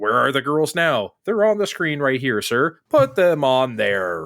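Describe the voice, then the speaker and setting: Mumbling in a put-on character voice at a low-to-middle pitch, the speaker goes at a fairly slow pace in a very clean recording with a silent background. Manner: muttering.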